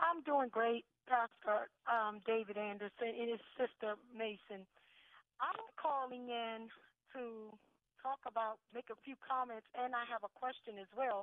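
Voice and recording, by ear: A woman with an American accent speaks fairly slowly in a fairly high pitch and fairly even intonation, the sound dry and close with no echo.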